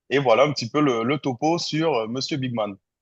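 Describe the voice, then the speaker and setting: A man speaks at a medium pitch. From French Guiana. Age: 30s. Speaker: content creator. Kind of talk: podcast interview. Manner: hesitant, many fillers.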